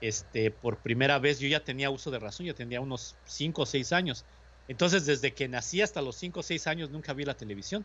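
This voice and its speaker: Speaking fairly quickly with a Mexican accent, the man has a fairly high pitch and lively intonation. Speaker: radio host. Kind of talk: casual chat.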